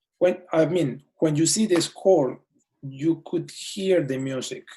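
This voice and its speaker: With a strong non-native accent, a man speaks at a very slow pace in a fairly high pitch, with ordinary pitch variation and long, frequent pauses. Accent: thick foreign. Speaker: orchestra conductor. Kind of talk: casual chat. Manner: halting.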